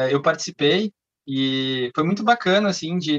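At a moderate pace, a man uses an ordinary speaking voice with ordinary pitch variation and a dry, close sound with no echo. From southern Brazil (Canela, Rio Grande do Sul). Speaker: chemical engineer. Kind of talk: casual chat.

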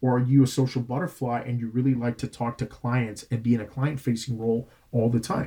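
With a Puerto Rican accent, a man talks at a fairly quick pace with hardly any pauses, his medium-pitched voice dark, mellow and somewhat breathy, his intonation monotone and flat. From Puerto Rico (Bayamón). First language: Spanish. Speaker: director of admissions, Air Force veteran. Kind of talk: interview.

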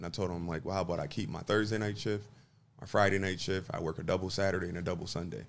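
In an American accent, a man with a very deep, low pitch speaks at a very fast pace. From Buffalo, New York (West Side). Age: 30s. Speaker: restaurant owner. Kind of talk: interview.

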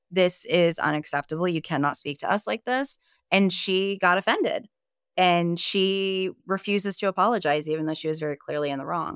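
On a very clean recording with a silent background, a woman talks at a fairly quick pace. Her medium pitch shows ordinary variation, and the sound is dry and close with no echo. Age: 30s. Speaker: podcast guest sharing childhood experiences. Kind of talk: personal testimony in casual interview.

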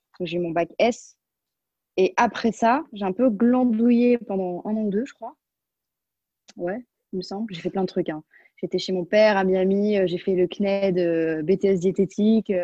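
Speaking fairly slowly with long, frequent pauses, a woman uses a medium pitch and ordinary pitch variation while her loudness swings widely. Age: 20s. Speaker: pastry chef. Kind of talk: casual chat. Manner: halting.

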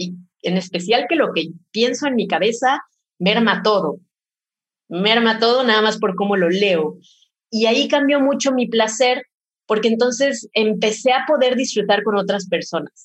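A woman speaks at a fairly slow pace in a somewhat breathy, fairly high-pitched voice with ordinary pitch variation. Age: 30s. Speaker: pleasure educator. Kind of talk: casual chat.

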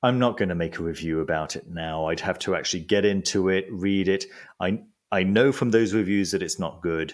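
A man talks at a fairly quick pace in a very deep, low pitch. His pitch varies in an ordinary way. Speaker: magician and esoteric book reviewer. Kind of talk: casual interview chat. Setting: remote call from home. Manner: calm, relaxed.

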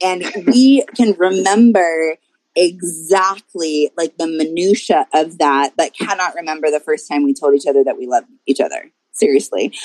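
At a moderate pace, an ordinary speaking voice comes through with lively intonation in a dry, close sound with no echo. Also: woman, fairly low pitch for a woman. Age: 30s. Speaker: life coach. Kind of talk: casual chat.

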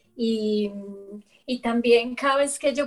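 A woman talks at a high pitch with monotone, flat intonation. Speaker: yoga teacher and artist. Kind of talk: casual chat.

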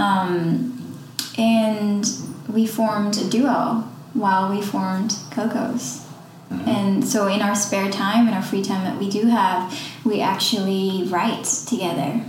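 A woman speaks very slowly in a medium pitch, her pitch varying in an ordinary way, over noticeable background noise. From Netherlands. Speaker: ice cream shop owner and musician. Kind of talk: casual interview.

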